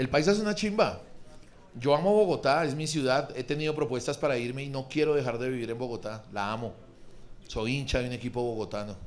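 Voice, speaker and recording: Animated in tone, a man talks at a fairly quick pace. His medium pitch rises and falls with lively intonation. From Colombia, Pereira; Colombia. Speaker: stand-up comedian. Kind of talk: improvised stand-up. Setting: stage with audience. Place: stage. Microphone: handheld.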